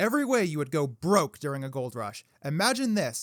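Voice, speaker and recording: On a very clean recording with a silent background and a dry, close sound with no echo, a man speaks at a moderate pace with very wide pitch swings. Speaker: comedic history narrator. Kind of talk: comedic history narration. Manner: sarcastic, irreverent.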